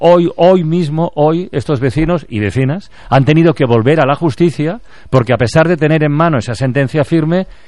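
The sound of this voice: A man speaks at a moderate pace with few pauses, his fairly high pitch showing ordinary pitch variation and a slightly mellow tone.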